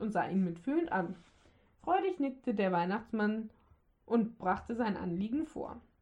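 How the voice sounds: Someone reads in a natural voice, the intonation moving in a lively way.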